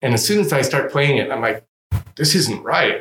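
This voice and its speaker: Here is a man with an American accent and an unremarkable speaking voice. He talks at a moderate pace with a fairly high pitch. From Southern California. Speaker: double bass player and luthier. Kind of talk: casual interview chat. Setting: music store showroom.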